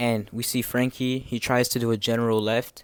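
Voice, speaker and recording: Fairly slow speech from a man, very clean recording and silent background. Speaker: anime manga reviewer. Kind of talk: casual review commentary. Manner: halting, many repeated words.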